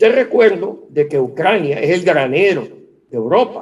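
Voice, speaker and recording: A man talks at a fairly slow pace and a fairly high pitch, with very wide pitch swings. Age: 60s. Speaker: economist. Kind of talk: interview. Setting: video call.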